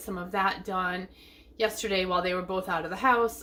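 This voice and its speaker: Her tone is bright and sharp. The woman speaks at a medium pitch with fairly even intonation. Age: 50s. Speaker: lifestyle vlogger. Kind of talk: casual vlog chat. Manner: chatty.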